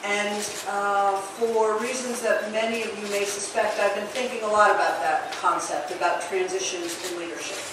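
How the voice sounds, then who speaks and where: A woman at a moderate pace with hardly any pauses and fairly even intonation, amid strong room echo and noticeable background noise. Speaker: city mayor. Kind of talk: formal ceremonial speech. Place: hall.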